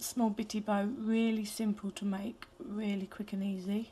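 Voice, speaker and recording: A woman speaks at a moderate pace with fairly even intonation. Her tone is dark and mellow, and somewhat breathy. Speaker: hairbow crafter. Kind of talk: craft tutorial.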